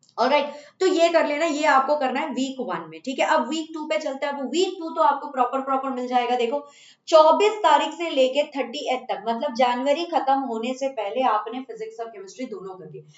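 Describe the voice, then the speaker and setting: With lively intonation and a high pitch, a woman talks at a moderate pace with hardly any pauses and big swings in loudness. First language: Bengali (speaking Hindi). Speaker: chemistry teacher. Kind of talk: online class talk to students. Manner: casual with fillers and hesitations.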